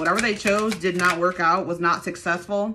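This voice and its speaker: Noticeable background noise sits behind speech delivered at a moderate pace. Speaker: tarot reader. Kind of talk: casual tarot reading commentary. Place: home room. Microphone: phone near.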